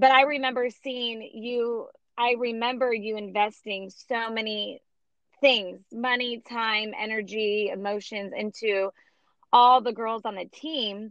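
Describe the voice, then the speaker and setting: A rather high female voice, its intonation mostly level. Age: 30s. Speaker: podcast host. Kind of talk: casual interview.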